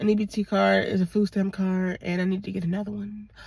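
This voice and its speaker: A woman speaks fairly quickly with an American accent at a medium pitch. Her voice is somewhat breathy. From Virginia, Portsmouth. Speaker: vlogger. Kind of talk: casual vlog monologue. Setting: in a car. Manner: casual, rambling with fillers.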